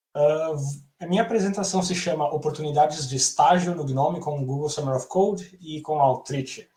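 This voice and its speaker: With audible room echo, a man's fairly high voice carries a dark, mellow tone and ordinary pitch variation. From southern Brazil, Rio Grande do Sul. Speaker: software developer. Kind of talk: conference talk. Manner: fast.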